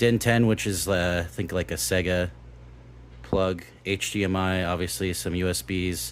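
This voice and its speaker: A man's very deep, low voice carries vocal fry, with ordinary pitch variation. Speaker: tech youtuber reviewing retro gaming hardware. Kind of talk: unboxing and product review. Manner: slow, halting with fillers.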